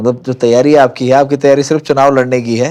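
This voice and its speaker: An ordinary speaking voice moves at a moderate pace. The recording is very clean, with a silent background. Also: man. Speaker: podcast host. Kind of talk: interview question.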